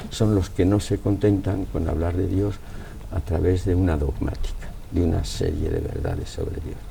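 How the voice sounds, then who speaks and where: Speaking at a moderate pace, a man with a very deep, low pitch keeps a fairly even intonation over noticeable background noise. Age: 80s+. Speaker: philosopher. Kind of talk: interview answer.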